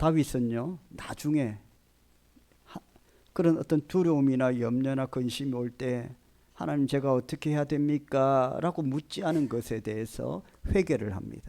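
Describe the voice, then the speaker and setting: At a fairly slow pace, a man speaks in a dark, mellow tone with medium pitch and ordinary pitch variation. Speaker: pastor. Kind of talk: sermon. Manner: hesitant, many fillers.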